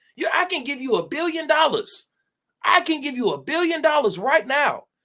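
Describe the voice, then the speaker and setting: A man projects his voice in an extremely high, bright, sharp tone, moving at a moderate pace with very wide pitch swings. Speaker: reaction streamer. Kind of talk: motivational rant. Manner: loud; animated.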